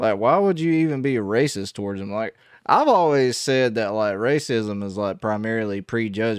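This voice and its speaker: Against a quiet background, the speaker talks at a moderate pace with a strong Southern US accent and ordinary pitch variation. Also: man, medium pitch for a man. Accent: heavy Southern US. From US South. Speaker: gospel musician reacting to music. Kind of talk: casual reaction commentary. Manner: halting, many fillers.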